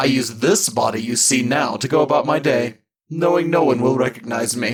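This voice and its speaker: A man puts on a character voice. He pitches it at a medium level. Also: moderate pace. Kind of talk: campy showbiz melodrama. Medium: audio drama. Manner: theatrical, dramatic pauses, self-admiring.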